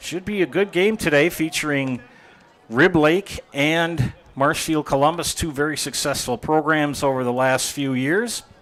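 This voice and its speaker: There is noticeable background noise as a man speaks with an American accent. His pace is fairly slow. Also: fairly high pitch for a man, ordinary pitch variation. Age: 60s. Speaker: sports play-by-play announcer. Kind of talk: live sports commentary.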